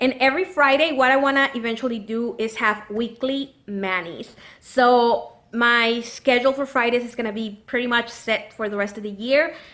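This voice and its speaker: A woman's high, bright, sharp voice at a moderate pace, with ordinary pitch variation and hardly any pauses. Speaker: nail polish YouTuber. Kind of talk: casual chat. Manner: chatty, filler-heavy.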